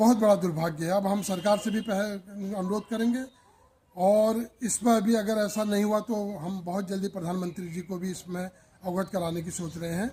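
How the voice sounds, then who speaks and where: A man talks at a high pitch. His pace is moderate. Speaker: local activist. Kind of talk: street interview.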